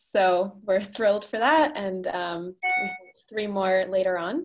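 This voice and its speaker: The tone is warm and enthusiastic. Pitch variation is ordinary. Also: woman. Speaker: meetup co-host and organizer. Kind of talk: online group meetup moderation. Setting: video call. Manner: warm, enthusiastic. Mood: warm, cheerful. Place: home room. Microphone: video call.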